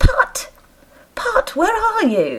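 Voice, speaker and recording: A put-on character voice, squeaky and high-strung. The speaker is shouting. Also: woman. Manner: angry, shouting.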